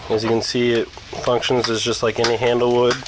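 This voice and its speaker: Amid noticeable background noise, a man talks at a moderate pace and a medium pitch. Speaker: car enthusiast. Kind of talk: car repair tutorial, casual talk to camera. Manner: casual, hesitant.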